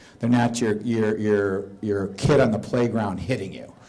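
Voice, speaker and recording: Fairly even intonation at a moderate pace, with noticeable background noise. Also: man. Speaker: conference speaker. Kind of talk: presentation to audience. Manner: loud.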